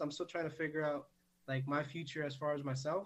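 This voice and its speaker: This man speaks at a fairly quick pace in a normal speaking voice. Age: 20s. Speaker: cactus and plant collector. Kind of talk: casual chat.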